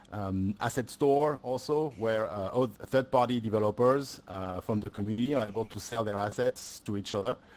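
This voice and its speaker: A man with a French accent talks at a moderate pace. His medium pitch carries fairly even intonation. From France. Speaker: solution engineer presenting at a tech event. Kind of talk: presentation talk. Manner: hesitant with many fillers.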